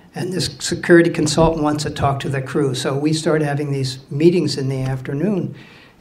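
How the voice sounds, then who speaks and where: A man with a fairly high pitch talks at a fairly quick pace with fairly even intonation. Room echo is audible, along with noticeable background noise. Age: 60s. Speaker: mariner, ship's officer telling a story. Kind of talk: live storytelling to an audience. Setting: stage with audience. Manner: casual, halting with fillers.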